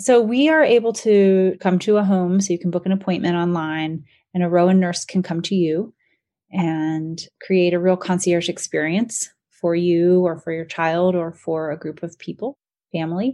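Over a quiet background, a woman with an American accent speaks at a moderate pace and a fairly low pitch. She has an ordinary speaking voice with fairly even intonation. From North Carolina, US. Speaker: startup founder and CEO. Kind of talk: interview.

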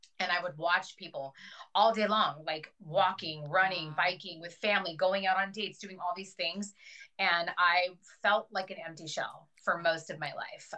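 This woman's voice is fairly low in pitch with a bright, sharp tone. Her intonation stays fairly even. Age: 40s. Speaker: weight loss surgery patient. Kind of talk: interview.

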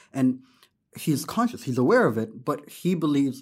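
A fairly high-pitched man with an American accent, moderate pace, on a very clean recording with a silent background. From Sudan, raised internationally (UK, US, East Asia, UAE). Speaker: agency founder and podcaster. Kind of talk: casual chat. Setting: studio. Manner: animated.

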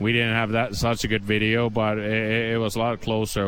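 Noticeable background noise accompanies this recording. A man speaks with a Finnish accent at a fairly quick pace. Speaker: hockey head coach. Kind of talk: post-game interview. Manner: halting, searching for words.

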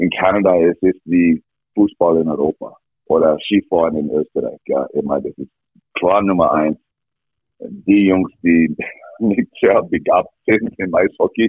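The speaker has an English accent and talks at a fairly slow pace. Long pauses come often. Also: man. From Canada, rural Alberta. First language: English (speaking German). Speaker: ice hockey coach. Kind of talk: interview. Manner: halting.

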